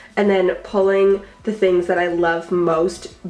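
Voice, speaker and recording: A woman with a medium-pitched voice talks as noticeable noise sounds in the background. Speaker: beauty youtuber. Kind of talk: casual vlog tutorial.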